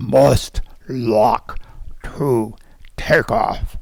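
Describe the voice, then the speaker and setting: A man performs a put-on character voice. It sounds gruff and robotic. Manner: loud, abrupt.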